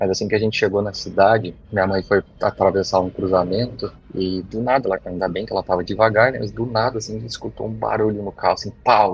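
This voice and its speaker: The somewhat breathy delivery races at a very fast pace with hardly any pauses and fairly even intonation. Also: man, fairly low pitch for a man. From São Paulo state, Brazil. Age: 30s. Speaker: listener sharing a story. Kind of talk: recorded personal story.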